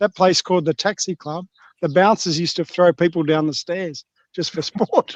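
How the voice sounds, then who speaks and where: In a quiet background with a dry, close sound and no echo, a man with a high pitch speaks at a moderate pace in an Australian accent. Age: 50s. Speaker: livestream guest. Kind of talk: casual chat.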